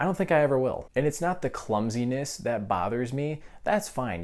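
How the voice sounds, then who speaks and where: Over a very clean recording with a silent background, a man talks at a fairly quick pace with lively intonation. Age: 20s. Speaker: film reviewer. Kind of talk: video review monologue. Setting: at home, others sleeping. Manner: quieter than normal.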